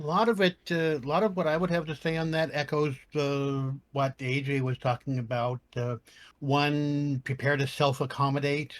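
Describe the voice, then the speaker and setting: A man speaks in a plain, everyday voice, fairly high-pitched with ordinary pitch variation, at a moderate pace, in a very clean recording with a silent background and a dry, close sound with no echo. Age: 60s. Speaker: cosplayer. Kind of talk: panel podcast discussion.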